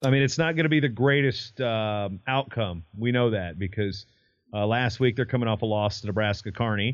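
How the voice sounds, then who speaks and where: In an American accent, a man uses a normal speaking voice at medium pitch, a moderate pace and ordinary pitch variation. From US state bordering Tennessee. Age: 30s. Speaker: wrestling podcast host and historian. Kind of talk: casual sports chat.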